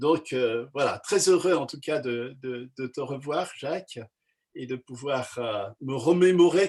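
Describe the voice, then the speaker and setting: A man at a fairly slow pace. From France (Savoie), Kabyle family. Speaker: pastor. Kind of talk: casual talk, online meeting. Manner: halting, many hesitations.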